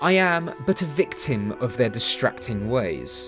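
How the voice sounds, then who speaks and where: With music playing behind him, a man speaks in very wide pitch swings. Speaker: video game reviewer. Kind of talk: video essay narration. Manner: casual, sarcastic, humorous.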